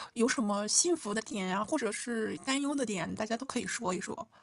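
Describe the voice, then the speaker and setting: A woman speaks at a fairly quick pace in a plain, everyday voice, her pitch fairly high with ordinary variation. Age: 20s. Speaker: podcast co-host. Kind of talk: casual chat.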